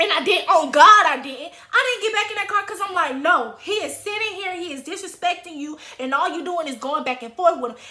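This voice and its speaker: A woman with an extremely high pitch and a raised, projected voice, animated in tone, with lively intonation, big swings in loudness, a fairly quick pace and hardly any pauses, over noticeable background noise. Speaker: YouTuber telling personal stories. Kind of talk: storytime monologue.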